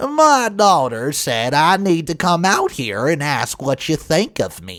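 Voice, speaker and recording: In a put-on character voice with a strong Southern accent, a man speaks at a fairly high pitch. His voice is raised and projected, and his pace is fairly slow. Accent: thick Southern. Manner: confrontational, in-your-face.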